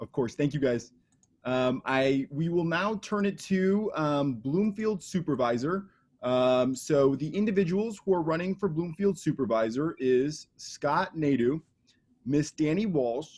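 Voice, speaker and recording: Speaking fairly slowly with an American accent, a man uses a fairly high pitch and lively intonation. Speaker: debate moderator. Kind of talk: moderating candidate forum.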